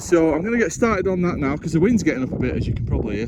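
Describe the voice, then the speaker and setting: A man with a fairly high voice swings very widely in pitch over noticeable background noise. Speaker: outdoor camping vlogger. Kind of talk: casual vlog commentary. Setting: outdoors on a hilltop, wild camping.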